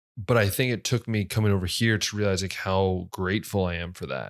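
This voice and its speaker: Set against a silent background in a very clean recording, the speech moves at a moderate pace. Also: man. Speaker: podcast host. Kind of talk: casual podcast talk.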